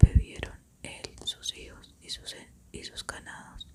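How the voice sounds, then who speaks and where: Someone is whispering. Noticeable background noise runs behind it. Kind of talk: scripture reading. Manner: whispered, soft.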